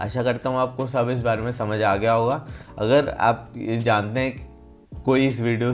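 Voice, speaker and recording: With faint music in the background, a man speaks with fairly even intonation. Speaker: fitness vlogger. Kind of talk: casual vlog chat. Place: home room. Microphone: phone near.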